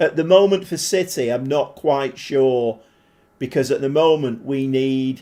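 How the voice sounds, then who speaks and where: In a Mancunian accent, a man with a medium pitch and a dark, mellow tone talks at a fairly slow pace with ordinary pitch variation on a very clean recording with a silent background. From Manchester, northern England. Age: 40s. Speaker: gaming live streamer. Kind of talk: casual live stream chat while gaming. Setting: live stream. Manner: casual, chatty with filler words.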